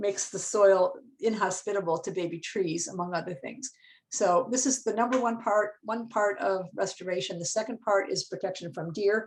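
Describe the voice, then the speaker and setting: Her voice sits at a medium pitch, and the woman shows ordinary pitch variation. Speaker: forest ecologist, professor. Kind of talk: presentation on a video call. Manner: fast.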